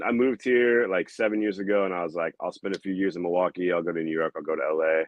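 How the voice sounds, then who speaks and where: A man with a Midwestern US accent talks at a very fast pace in a very deep, low pitch, with ordinary pitch variation. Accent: US Midwest. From Iowa, Des Moines. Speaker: comedian. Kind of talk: casual chat. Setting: podcast.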